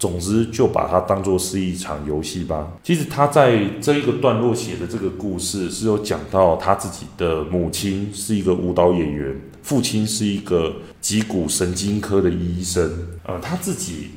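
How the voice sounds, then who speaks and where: Somewhat breathy speech at a moderate pace with ordinary pitch variation and audible room echo. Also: man, very deep, low pitch for a man. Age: 30s. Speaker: parenting coach and podcast host. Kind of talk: monologue book review.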